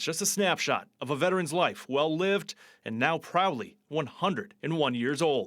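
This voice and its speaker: A man speaks in an unremarkable speaking voice. His pitch is fairly high, with ordinary variation. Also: moderate pace. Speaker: TV news reporter. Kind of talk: TV news report narration.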